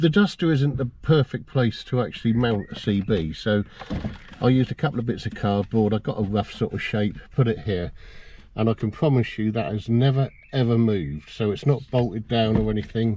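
The voice has a dark, mellow tone, ordinary pitch variation and a moderate pace. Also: man, fairly low pitch for a man.

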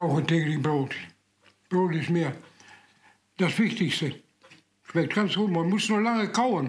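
A man with a high pitch speaks at a very slow pace, his pitch varying in an ordinary way. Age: 80s+. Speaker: master baker; war veteran. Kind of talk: interview answer.

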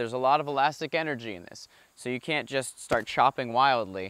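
Moderate pace over a quiet background. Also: man, dry sound with no echo. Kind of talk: explanatory tutorial. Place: garden.

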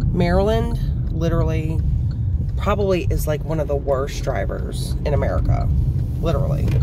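Moderate-paced speech with a dry sound and no echo, set against loud background noise. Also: man. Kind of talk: casual vlog chat. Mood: wry, venting. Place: car. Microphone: phone near.

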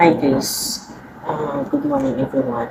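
This woman talks at a fairly slow pace. Noticeable background noise sits behind her. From Philippines. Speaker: vlogger, overseas Filipino worker. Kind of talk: casual vlog talk to camera.

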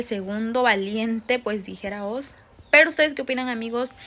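Her pitch sits high, and the woman keeps a fairly even intonation. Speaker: entertainment gossip vlogger. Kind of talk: casual vlog chat. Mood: cheerful, smiling. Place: home room. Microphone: phone near.

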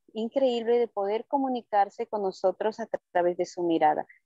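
A woman speaks in a dark, mellow tone with ordinary pitch variation, against a quiet background in a dry recording with no echo. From Bolivia. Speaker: wildlife sanctuary founder. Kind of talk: interview conversation in Spanish. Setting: video call from the jungle, outdoors on a tent roof in rain. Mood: warm, emotional. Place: forest. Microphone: earbuds.

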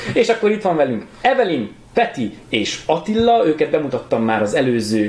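A man speaks at a fairly slow pace. There is audible echo from the room. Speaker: show host. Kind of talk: casual show host intro. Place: home room.

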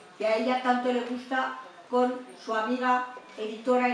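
Audible room echo and light background noise fill this recording. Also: woman. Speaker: host introducing the guest lecturer. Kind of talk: formal introduction speech. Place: meeting room.

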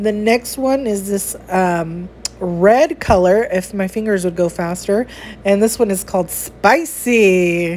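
In an American accent, a woman speaks at a very slow pace with ordinary pitch variation. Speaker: beauty vlogger. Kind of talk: product unboxing. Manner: animated. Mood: playful, chatty. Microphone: phone near.

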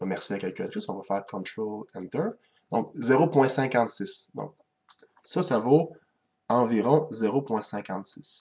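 Speaking at a very slow pace, a man uses lively intonation and leaves long, frequent pauses. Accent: Quebec. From Quebec. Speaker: math teacher. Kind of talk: lecture. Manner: hesitant, with frequent fillers. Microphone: webcam.

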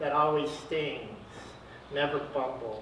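With audible room echo and light background noise, a man talks with ordinary pitch variation. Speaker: poet. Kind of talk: spoken word poetry reading at an open mic, dark surreal chapters read aloud. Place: shop. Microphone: camera far.

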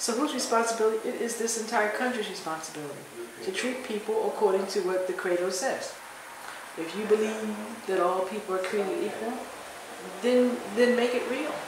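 In an American accent, a woman with a fairly high pitch talks at a fairly quick pace with ordinary pitch variation, amid noticeable background noise and audible room echo. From US Northeast, Philadelphia. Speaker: professor. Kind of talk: interview. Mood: reflective, firm at times. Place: hall. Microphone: phone near.

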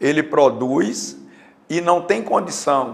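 A very slow man's voice, fairly high in pitch and with ordinary pitch variation. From Juazeiro, Bahia, Brazil. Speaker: retired police colonel, mayoral pre-candidate. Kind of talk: interview.

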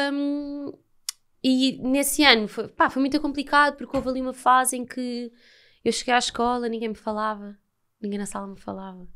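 The speaker uses ordinary pitch variation at a moderate pace. The background is quiet. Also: woman. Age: 20s. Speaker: actress; podcast guest, actress. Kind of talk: casual chat. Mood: relaxed, animated storytelling. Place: studio. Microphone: studio mic.

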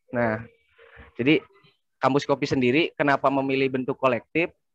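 A man talks with fairly even intonation. The sound is dry with no echo, and the background is quiet. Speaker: coffee shop collective member. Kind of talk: casual online discussion. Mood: relaxed, joking. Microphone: choppy connection; video call.

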